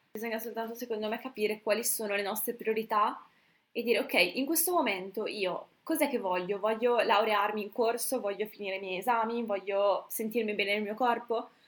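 A woman's fairly high, unremarkable speaking voice with ordinary pitch variation at a fairly quick pace. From northern Italy, Brescia. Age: 20s. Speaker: medical student and fitness coach. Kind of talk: casual chat.

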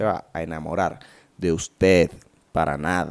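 A man speaks with a Venezuelan accent and an animated tone. Vocal fry runs through his voice. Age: 20s. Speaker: podcaster. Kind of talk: casual monologue.

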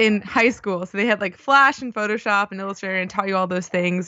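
This is a plain, everyday voice with an American accent. Its pitch varies in an ordinary way. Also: woman. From US East Coast, Baltimore. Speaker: UI engineer and conference speaker. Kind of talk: casual interview.

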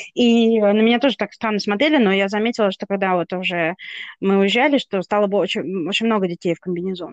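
Very fast speech in a dry, close sound with no echo. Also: woman. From Russia. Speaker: podcast co-host. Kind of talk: casual chat.

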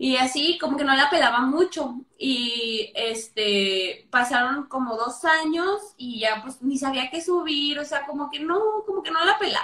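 A woman with a high pitch speaks in a raised, projected voice. Her intonation is lively and her pace fairly slow. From northern Mexico, Torreón. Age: 20s. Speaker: physiotherapist. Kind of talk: casual interview. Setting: live video call.

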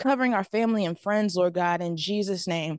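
A woman with an ordinary speaking voice talks at a fairly quick pace and medium pitch, with ordinary pitch variation and a dry, close sound with no echo. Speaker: church member. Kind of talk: prayer. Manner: fervent.

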